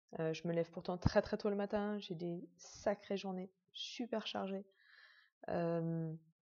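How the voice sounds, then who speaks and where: Her intonation fairly even, a woman speaks in a fairly low pitch. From Netherlands. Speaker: patient sharing illness journey. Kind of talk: personal testimony. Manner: hesitant, many fillers.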